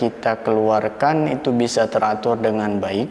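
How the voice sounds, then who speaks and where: Through noticeable background noise, a man with a medium pitch talks at a fairly slow pace in a calm tone, with ordinary pitch variation. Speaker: adzan tutor. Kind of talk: adzan tutorial for beginners. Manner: calm, explanatory teaching tone.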